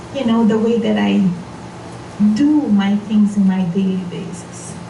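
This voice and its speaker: A woman's medium-pitched voice with a non-native accent, audible room echo and noticeable background noise. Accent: non-native English speaker. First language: Portuguese. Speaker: spiritual seminar leader. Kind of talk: seminar talk.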